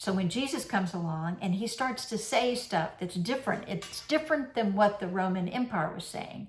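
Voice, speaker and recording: A woman speaks at a medium pitch with lively intonation and a somewhat breathy quality. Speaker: minister. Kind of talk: sermon. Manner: conversational.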